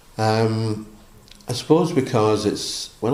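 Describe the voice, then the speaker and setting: Audible room echo surrounds a man speaking with a west of Scotland accent. His voice has a dark, mellow tone and a fairly low pitch. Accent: west of Scotland Scottish. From Scotland (Barrhead, near Glasgow). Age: 70s. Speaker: missionary priest. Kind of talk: interview. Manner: halting.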